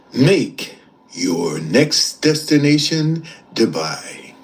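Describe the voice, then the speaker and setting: A man talks at a very slow pace in a put-on character voice. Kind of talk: radio.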